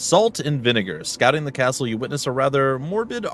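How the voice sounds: Lively intonation marks this voice. It reads in a natural way.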